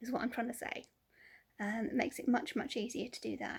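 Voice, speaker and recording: The voice carries a southern English accent. Its pitch variation is ordinary. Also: woman. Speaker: vlogger. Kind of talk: casual vlog chat. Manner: hesitant, many ums.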